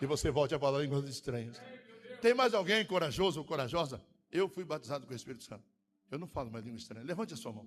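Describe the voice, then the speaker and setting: With music in the background, a man with a fairly high pitch speaks at a very fast pace, using very wide pitch swings, big swings in loudness and long, frequent pauses. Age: 60s. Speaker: pastor. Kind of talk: sermon. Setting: church.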